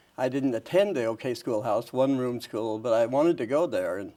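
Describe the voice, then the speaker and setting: The voice has a dark, mellow tone. It carries an American accent. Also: man. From northern Idaho, rural. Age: 80s+. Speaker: retired educator and author. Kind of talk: interview. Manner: halting, many restarts.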